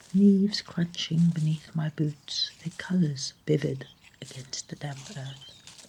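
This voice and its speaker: Against noticeable background noise, a soft-spoken woman with a very deep, low pitch and a soothing tone talks at a fairly slow pace, her intonation fairly even but her loudness swinging widely. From South Africa. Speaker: storyteller. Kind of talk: sleep story. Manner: soft-spoken, soothing.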